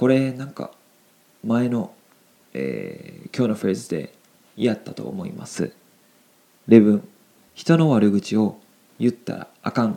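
A man with a dark, mellow tone speaks at a medium pitch and a fairly slow pace, with long, frequent pauses. His pitch swings very widely, and his loudness swings widely as well. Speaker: Japanese language teacher podcast host. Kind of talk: language lesson explaining phrases; casual chat. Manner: casual, filler-heavy.

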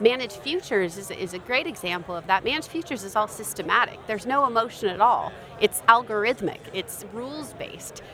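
A woman talking at a very fast pace with hardly any pauses, lively intonation and big swings in loudness, amid noticeable background noise. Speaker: investment firm marketer. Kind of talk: interview.

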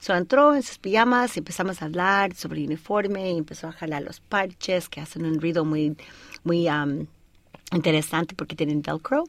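A woman with a fairly low pitch speaks at a moderate pace in an unremarkable speaking voice, with ordinary pitch variation and big swings in loudness. The recording is very clean with a silent background. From Colorado, US. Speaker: air force veteran and author. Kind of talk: radio interview. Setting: studio.

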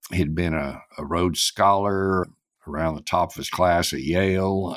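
On a very clean recording with a silent background, a man with an American accent speaks at a very deep, low pitch with ordinary pitch variation. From Western Oklahoma (Clinton, Custer County). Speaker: attorney and energy expert. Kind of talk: interview.

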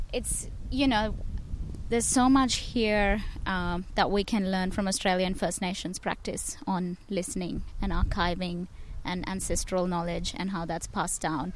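Audible room echo colors this recording. The speech is fairly slow, with ordinary pitch variation. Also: woman, medium pitch for a woman. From India. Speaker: performance maker and curator. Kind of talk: casual interview. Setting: outdoors in a park. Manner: hesitant, many fillers.

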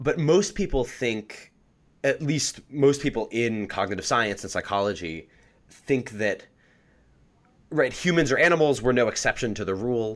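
In a very clean recording with a silent background, a man speaks with an American accent at a moderate pace. He has an ordinary speaking voice, medium in pitch, with lively intonation. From New Jersey. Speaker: psychology graduate student. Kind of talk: interview. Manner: many fillers and restarts.

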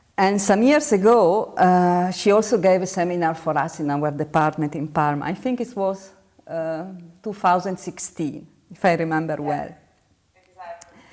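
A woman with an Italian accent, fairly low in pitch, at a moderate pace with ordinary pitch variation. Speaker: university professor, interviewer. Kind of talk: interview. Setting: video call. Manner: halting.

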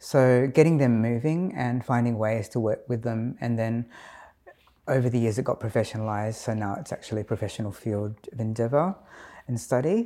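A man with an Australian accent talks at a fairly quick pace and medium pitch, with ordinary pitch variation. His tone is dark and mellow, in a very clean recording with a silent background. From Adelaide, South Australia (Filipino Australian community). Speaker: dance and movement therapist, community educator. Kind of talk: interview. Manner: hesitant, many fillers.

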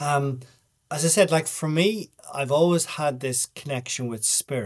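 A man with a Dublin accent and ordinary pitch variation. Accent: Irish, Dublin. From Ireland, Dublin. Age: 50s. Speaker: writer and documentary maker. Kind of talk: casual interview.

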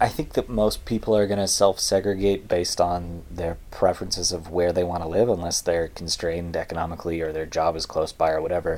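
A man's very deep, low voice with an American accent, fairly quick in pace and fairly even in intonation. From California. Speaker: podcast co-host. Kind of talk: casual chat.

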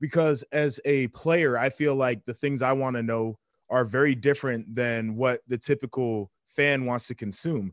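In a normal speaking voice, a man talks at a moderate pace with an American accent, his pitch medium and hardly any pauses. The sound is dry and close with no echo, over a quiet background. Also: fairly even intonation. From Columbus, Ohio, US Midwest. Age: 20s. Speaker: former football player and TV analyst. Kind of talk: casual chat. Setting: video call.

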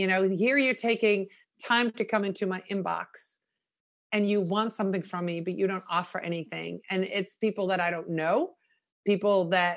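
Against a quiet background, a woman speaks at a medium pitch and a moderate pace, with fairly even intonation. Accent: Dutch. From Netherlands. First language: Dutch. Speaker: social media consultant. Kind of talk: interview. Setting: remote recording.

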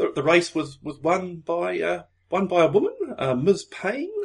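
This is a man speaking. He talks in an Australian accent. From Australia, Melbourne. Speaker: podcast co-host. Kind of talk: casual chat.

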